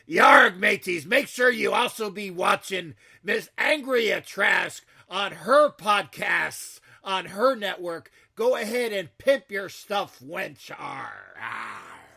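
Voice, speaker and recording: In a put-on character voice, a man speaks fairly slowly at a high pitch. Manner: playful.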